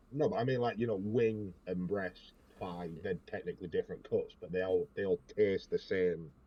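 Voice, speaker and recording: A man with an English accent at a moderate pace, with hardly any pauses. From England. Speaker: podcast host. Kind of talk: casual chat. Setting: Discord voice call.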